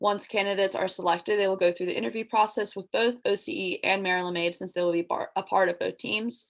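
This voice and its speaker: At a very fast pace with hardly any pauses, a woman talks at medium pitch with ordinary pitch variation. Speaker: student athlete. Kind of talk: presentation.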